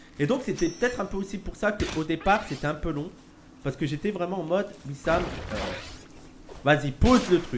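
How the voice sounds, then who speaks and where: Long, frequent pauses break up this man's high-pitched speech. Noticeable background noise runs underneath. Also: lively intonation, moderate pace. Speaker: streamer. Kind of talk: casual chat.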